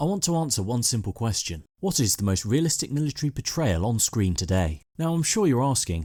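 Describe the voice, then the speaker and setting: A fairly quick, medium-pitched male voice, dark and mellow in tone, with very wide pitch swings, very even loudness and hardly any pauses, on a very clean recording with a silent background. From Britain. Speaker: army veteran and film commentator. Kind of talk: video essay narration.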